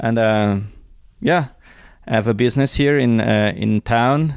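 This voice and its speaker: Recorded very cleanly against a silent background, a man with a Swiss German accent sounds dry and close, with no echo. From Switzerland, Zurich Highlands. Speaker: small business owner and mission supporter. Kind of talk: casual interview. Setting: basement at home. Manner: halting.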